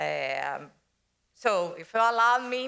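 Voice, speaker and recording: A woman's voice with a bright, sharp tone. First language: Portuguese (speaking Spanish). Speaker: development bank executive. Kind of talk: panel presentation. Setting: conference stage with audience. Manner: hesitant, with fillers.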